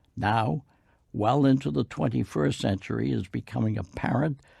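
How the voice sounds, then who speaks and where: In an American accent, a man with a fairly low pitch, vocal fry and a dark, mellow tone swings very widely in pitch on a very clean recording with a silent background. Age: 80s+. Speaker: war veteran. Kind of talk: testimony.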